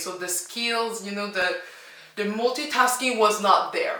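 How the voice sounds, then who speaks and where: There is audible room echo and noticeable background noise as a woman speaks with a French accent. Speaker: language teacher and YouTuber. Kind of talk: casual reaction vlog. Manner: animated.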